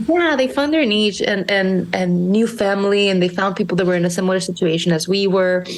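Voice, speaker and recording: A woman with a Spanish accent at a fairly quick pace, hardly any pauses, very even loudness, and noticeable background noise. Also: medium pitch for a woman, ordinary pitch variation. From Monterrey, Mexico. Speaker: small business founder. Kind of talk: podcast interview. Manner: halting, many repeated words.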